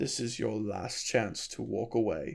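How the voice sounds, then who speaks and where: At a moderate pace, a man performs a put-on character voice with a fairly low pitch. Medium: read story.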